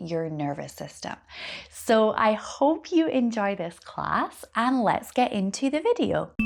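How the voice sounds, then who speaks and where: With a Scottish accent, a woman speaks at a fairly high pitch and a fairly slow pace, her intonation lively. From Scotland. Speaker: yoga teacher. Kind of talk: yoga class introduction.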